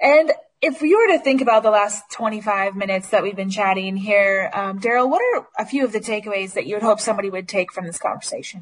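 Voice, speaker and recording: The speaker keeps up a fairly quick pace with hardly any pauses, sounding somewhat breathy and energetic in tone, with ordinary pitch variation. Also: woman, fairly high pitch for a woman. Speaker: podcast host. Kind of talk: podcast interview.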